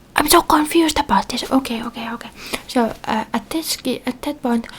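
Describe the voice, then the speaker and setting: Spoken at a moderate pace, the voice comes through over noticeable background noise. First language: Finnish. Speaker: ASMR creator. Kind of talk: casual chat. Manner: halting; animated.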